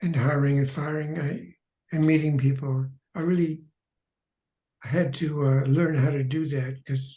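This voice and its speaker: Pausing long and often, a man with a fairly high pitch speaks in a dark, mellow, somewhat breathy tone. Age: 90s. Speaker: retired animation artist. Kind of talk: interview. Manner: halting.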